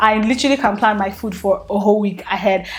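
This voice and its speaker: A woman's fairly high, somewhat breathy voice at a fairly quick pace. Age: 20s. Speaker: lifestyle vlogger. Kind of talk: vlog talk to camera. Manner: animated.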